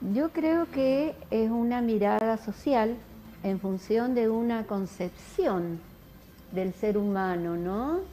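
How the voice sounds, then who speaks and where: A woman's dark, mellow tone at a very slow pace, lively in intonation, with light background noise. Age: 60s. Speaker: psychologist and dance teacher. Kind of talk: interview. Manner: halting. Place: studio.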